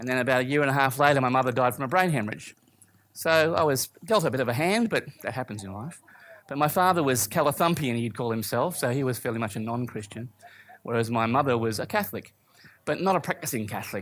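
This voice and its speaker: With an Australian accent, a man speaks at a fairly quick pace using ordinary pitch variation. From Australia, Brisbane. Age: 50s. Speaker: church speaker, former musician. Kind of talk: testimony.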